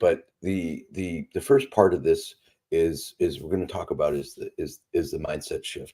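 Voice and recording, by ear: A man speaks in a put-on character voice. His hoarse delivery moves at a moderate pace.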